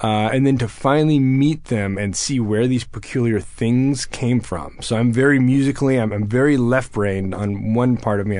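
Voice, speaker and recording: A man speaks with an American accent in an ordinary speaking voice. His pitch is medium and his intonation fairly even. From Texas. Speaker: war veteran. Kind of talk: interview.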